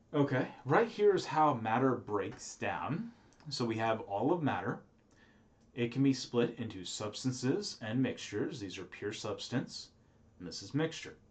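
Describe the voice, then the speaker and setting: Lively in intonation and somewhat breathy, a man talks at a medium pitch and a fairly slow pace, with audible room echo. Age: 30s. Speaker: professor. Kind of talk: lecture. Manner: casual, with filler words.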